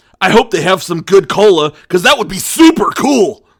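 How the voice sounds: A man puts on a character voice pitched high, with big swings in pitch. There is a slightly husky edge to it. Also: moderate pace.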